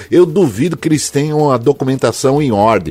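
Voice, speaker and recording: Here a man speaks in an unremarkable speaking voice. His pace is moderate and his intonation lively. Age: 60s. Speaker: radio host. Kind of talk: casual chat.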